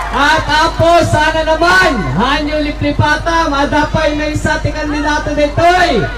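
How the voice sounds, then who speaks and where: Over loud background noise, a man speaks at a fairly slow pace with an Ilocano accent. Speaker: politician. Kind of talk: campaign rally speech. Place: street.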